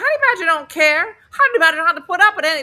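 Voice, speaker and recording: In a put-on character voice, a woman speaks at an extremely high pitch with lively intonation. She talks at a very fast pace. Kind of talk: narration. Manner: flamboyant.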